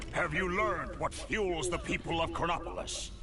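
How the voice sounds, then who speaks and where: Over loud background noise, a man does a cartoonish character voice at a moderate pace. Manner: pompous, theatrical.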